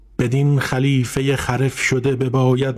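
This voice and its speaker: A man at medium pitch, very slow pace, against noticeable background noise. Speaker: narrator of classical prose. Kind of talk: literary audiobook reading.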